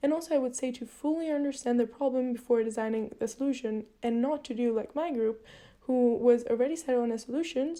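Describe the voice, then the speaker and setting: A woman with a non-native accent, high-pitched, dark and mellow in tone, with ordinary pitch variation at a fairly quick pace. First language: not English. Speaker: university student. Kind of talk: video reflection log. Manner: slightly halting, with fillers.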